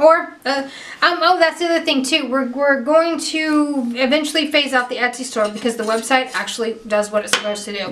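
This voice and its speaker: Loud speech at a fairly quick pace with ordinary pitch variation comes through over noticeable background noise. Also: woman, high pitch for a woman. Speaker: painting tutorial host. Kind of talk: tutorial. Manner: animated.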